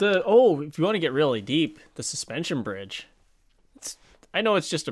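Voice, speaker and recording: Vocal fry at a moderate pace, with very wide pitch swings and big swings in loudness. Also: man, fairly high pitch for a man. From Saskatchewan, Canada (Moose Jaw and farm). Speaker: video creator and podcast co-host, camera operator. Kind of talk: casual chat. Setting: behind the camera, eating an apple.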